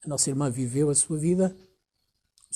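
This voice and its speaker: A man talks at a fairly slow pace with a European Portuguese accent, sounding somewhat breathy. His pitch is fairly high, and his intonation is lively. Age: 60s. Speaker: pastor. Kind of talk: sermon.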